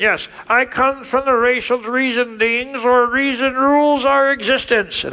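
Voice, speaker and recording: A cartoonish character voice speaks at a fairly high pitch in a deadpan tone. The pace is moderate with hardly any pauses, over light background noise. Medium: puppet show. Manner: deadpan, punning.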